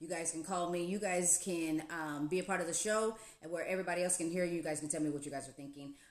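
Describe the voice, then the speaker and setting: Over noticeable background noise, a woman with a fairly low pitch speaks at a very fast pace with hardly any pauses. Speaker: radio host. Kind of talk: casual chat. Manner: animated.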